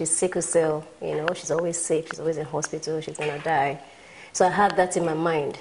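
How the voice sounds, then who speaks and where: Someone speaks with a Nigerian accent over noticeable background noise. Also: woman. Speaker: motivational speaker and businesswoman. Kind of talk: talk show interview.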